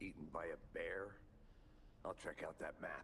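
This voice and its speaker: A man's put-on character voice at a moderate pace, over clear background noise. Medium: video game. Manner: dry, deadpan.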